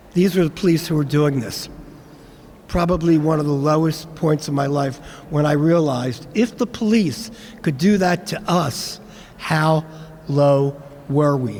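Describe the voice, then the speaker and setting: Over noticeable background noise, a man with an American accent and a fairly high pitch speaks at a fairly slow pace with long, frequent pauses. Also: ordinary pitch variation. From Philadelphia, US. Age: 70s. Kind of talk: speech at commemoration event.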